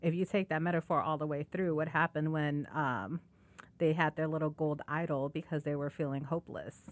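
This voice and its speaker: Very deep and low, a woman's voice moves at a fairly quick pace with fairly even intonation. The sound is dry and close with no echo, on a very clean recording with a silent background. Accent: Chicago. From Chicago. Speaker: podcast host and nonprofit executive director. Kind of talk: interview conversation.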